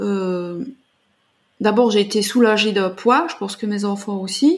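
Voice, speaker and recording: In a very clean recording with a silent background, a somewhat breathy woman speaks at a fairly slow pace and fairly high pitch, with ordinary pitch variation. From Belgium. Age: 40s. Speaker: artist and artist coach. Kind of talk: interview.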